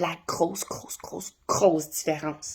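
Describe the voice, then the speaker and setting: Speaking at a fairly slow pace, a woman sounds animated, with vocal fry in her voice. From Ontario, Canada (Franco-Ontarian). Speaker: dog trainer. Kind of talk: casual explainer video.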